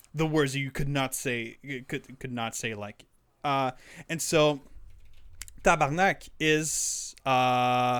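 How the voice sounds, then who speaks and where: A man with a Quebec accent speaks at a very slow pace with a fairly high pitch. Long, frequent pauses mark his speech on a very clean recording with a silent background. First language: French. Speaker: podcast co-host. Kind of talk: casual chat. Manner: animated.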